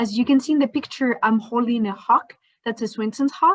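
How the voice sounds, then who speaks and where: With a Spanish accent, a woman speaks at a fairly high pitch with ordinary pitch variation. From Spain. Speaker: scientist. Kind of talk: educational presentation.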